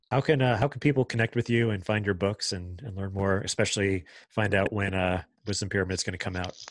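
A man with an American accent talks very fast at a fairly low pitch with ordinary pitch variation. The background is quiet and the sound is dry with no echo. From Long Island, New York; New York. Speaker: podcast host. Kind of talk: interview conversation; scripted podcast intro and outro. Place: studio.

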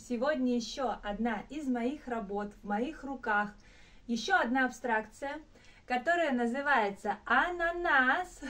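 A high-pitched woman speaks at a fairly slow pace in an animated, cheerful tone with lively intonation. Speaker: painter and video blogger. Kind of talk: casual vlog monologue. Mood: warm, cheerful. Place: home room. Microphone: phone near.

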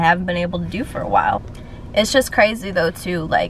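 A woman is speaking. The sound is dry with no echo, over light background noise. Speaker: fashion vlogger. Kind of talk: casual vlog chat. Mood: warm and reflective. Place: car.

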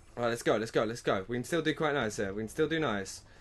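This man has a British accent. His voice sits at a medium pitch. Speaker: gaming YouTuber. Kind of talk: live gameplay commentary, first-impression video. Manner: excitable, reactive; fast, repetitive, encouraging team chatter.

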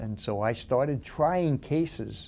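With a dark, mellow tone, a man speaks using lively intonation. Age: 70s. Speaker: lawyer and police officer. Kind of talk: interview answer. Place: office. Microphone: lapel.

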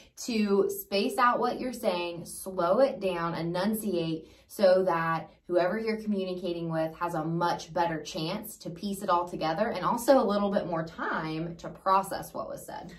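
A female-sounding, raspy put-on character voice at a medium pitch carries the clip. It runs at a moderate pace with hardly any pauses. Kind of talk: clear, spaced-out, deliberate speech. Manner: slow exaggerated enunciation.

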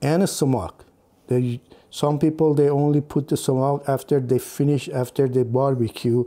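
Using a dark, mellow tone, a man speaks at a moderate pace with fairly even intonation. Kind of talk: tutorial. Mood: calm, friendly. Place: kitchen. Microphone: lapel.

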